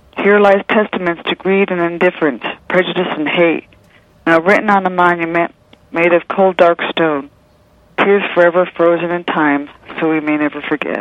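A woman with a fairly low pitch and fairly even intonation speaks at a moderate pace over noticeable background noise. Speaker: poet and nurse. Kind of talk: interview, reading poetry.

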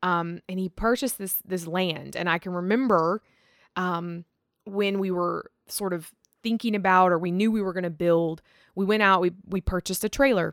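In a plain, everyday voice with an American accent, a woman speaks at a medium pitch on a very clean recording with a silent background and a dry, close sound with no echo. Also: fairly even intonation, moderate pace. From Virginia (Rustburg). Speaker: host's wife. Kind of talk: casual chat.

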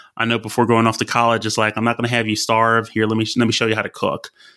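In a Southern US accent, a man speaks at medium pitch. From Alabama. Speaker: fantasy football analyst. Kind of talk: casual chat. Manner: halting, many fillers.

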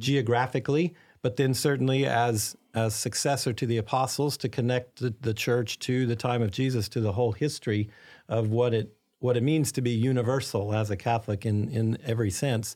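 A man's ordinary speaking voice with an American accent, medium pitch, fairly even intonation, very even loudness and a fairly quick pace. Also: very clean recording, silent background. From Arkansas, US South. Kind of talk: interview.

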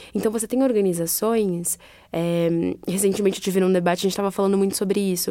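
Moving at a fairly quick pace, a woman speaks in a dark, mellow tone with ordinary pitch variation. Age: 20s. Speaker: non-profit HR manager. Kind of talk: interview.

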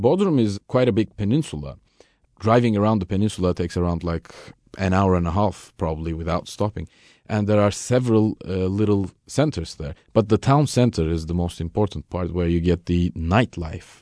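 Over a quiet background, a man with a Turkish accent speaks at a moderate pace in a very deep, low pitch with a dark, mellow tone, ordinary pitch variation, and a dry, close sound with no echo. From Turkey. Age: young. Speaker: tour guide. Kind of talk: radio interview.

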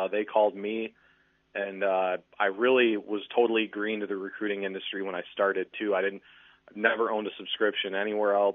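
At a fairly quick pace, a man talks in a fairly low voice with monotone, flat intonation. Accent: Midwestern American. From Michigan (Muskegon). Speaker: sports recruiting writer. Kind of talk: casual chat. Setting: phone call.

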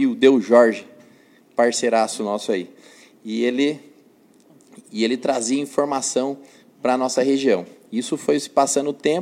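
Long, frequent pauses break up a man's moderate pace. His pitch is medium and his intonation fairly even. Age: 30s. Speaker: elected city councillor. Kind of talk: interview. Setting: newsroom live stream.

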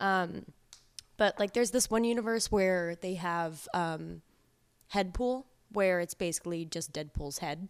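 Speaking at a fairly slow pace, a woman uses a fairly low pitch with ordinary pitch variation. The recording is very clean, and the background is silent. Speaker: host's daughter. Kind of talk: casual chat.

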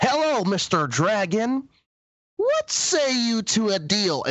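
Speaking very slowly, a man adopts a put-on character voice. His pitch sits high. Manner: goofy.

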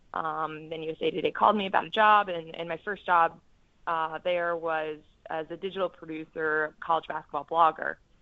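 A woman's fairly low voice in an American accent, monotone and flat in intonation, at a moderate pace. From New Jersey. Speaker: sportswriter. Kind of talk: casual interview.

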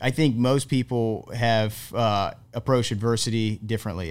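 The pitch of this man's voice is medium. Its variation is ordinary. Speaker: podcast host. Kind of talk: casual interview. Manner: enthusiastic.

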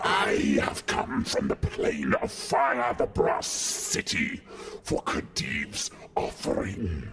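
Putting on a growling character voice, a man speaks at a very slow pace over clear background noise. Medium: actual play. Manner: imperious, contemptuous.

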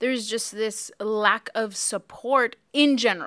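A woman's plain, everyday voice with an American accent, fairly high in pitch, with fairly even intonation on a very clean recording with a silent background. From US, Mexican American. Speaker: podcast host, ministry leader. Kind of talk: casual chat about faith.

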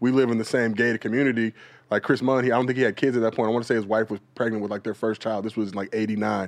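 Speaking very fast in a monotone, flat delivery, a man with an American accent holds a medium pitch. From Los Angeles. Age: 40s. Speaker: social media comedian. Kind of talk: casual chat.

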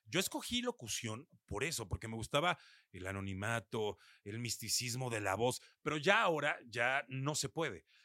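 Speaking at a moderate pace with a Mexico City accent, a man uses a bright, sharp tone, medium pitch and lively intonation, in a dry, close sound with no echo. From Mexico City area, northern zone (Satélite). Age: 40s. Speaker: radio announcer and DJ. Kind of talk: casual interview.

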